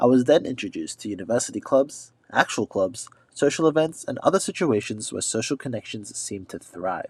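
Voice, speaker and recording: A man with an Australian accent at a medium pitch, very fast and lively in intonation, dry and close with no echo on a very clean recording with a silent background. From Australia, Sydney. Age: 20s. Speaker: exchange student vlogger. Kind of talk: scripted narration.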